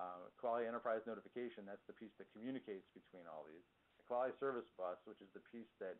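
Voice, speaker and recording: Big swings in loudness mark a man's voice at a very fast pace. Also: medium pitch for a man, ordinary pitch variation. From New York. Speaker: software consultant. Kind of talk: presentation.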